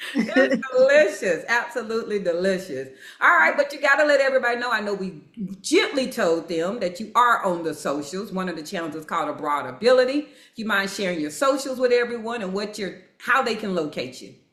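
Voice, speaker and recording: Speaking at a fairly quick pace, a woman with a fairly high pitch uses very wide pitch swings and big swings in loudness, with audible room echo around her. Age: 50s. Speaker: video podcast co-host. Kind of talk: casual interview chat. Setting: outdoor terrace.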